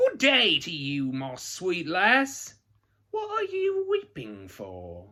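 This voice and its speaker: On a very clean recording with a silent background, a man does a put-on character voice at a very slow pace. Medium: read story. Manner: sly, teasing.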